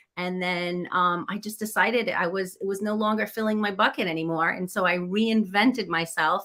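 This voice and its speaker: With a New England accent, a woman talks at a fairly quick pace in a bright, sharp tone and fairly even intonation. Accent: American (New England). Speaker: business coach, former chef. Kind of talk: interview.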